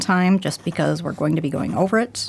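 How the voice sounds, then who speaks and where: In a very clean recording with a silent background, a woman with a plain, everyday voice speaks in fairly even intonation. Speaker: art instructor. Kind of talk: tutorial.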